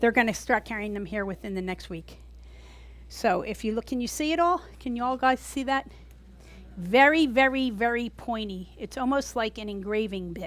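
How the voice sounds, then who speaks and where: Speaking at a moderate pace with an American accent, a woman's fairly high voice sounds animated, with lively intonation. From US East Coast. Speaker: gourd artist and teacher. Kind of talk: tutorial. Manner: loud.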